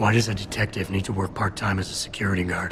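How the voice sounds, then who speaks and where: A man puts on a character voice at a fairly low pitch and speaks very fast. Background noise is clearly audible. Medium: machinima. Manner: deadpan, clipped.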